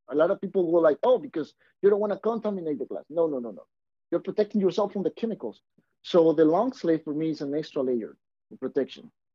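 Talking at a very fast pace, a man with a Mexican accent uses a high pitch, lively intonation and big swings in loudness. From Mexico. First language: Spanish. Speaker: auto glass installer and business owner. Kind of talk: casual interview chat.

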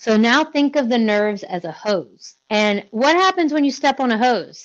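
A woman speaks in a plain, everyday voice, pitched fairly high. Her intonation is lively and her pace fairly slow. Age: 30s. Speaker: fitness business owner and coach. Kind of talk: casual chat.

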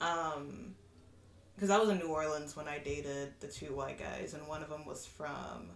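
Over noticeable background noise, a woman with an American accent speaks in a very deep, low pitch, her loudness swinging widely. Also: ordinary pitch variation, fairly slow pace. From Kansas. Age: 20s. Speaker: guest. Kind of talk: casual chat.

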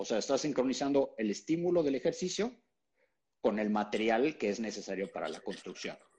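Speaking at a fairly quick pace, a man with a Mexican accent uses lively intonation. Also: medium pitch for a man. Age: 40s. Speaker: keto nutrition educator. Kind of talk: interview.

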